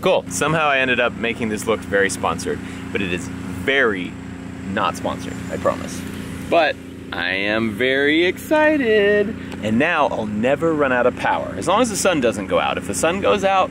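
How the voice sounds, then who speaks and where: A man talks at a moderate pace over noticeable background noise. The sound is dry, with no echo. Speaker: vlogger. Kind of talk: casual vlog chat. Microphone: phone near.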